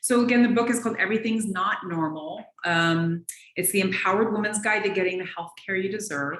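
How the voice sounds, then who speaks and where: Fairly quick, medium-pitched speech from a woman with an American accent, ordinary pitch variation and audible room echo. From US Pacific Northwest, Seattle. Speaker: naturopathic physician. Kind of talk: interview.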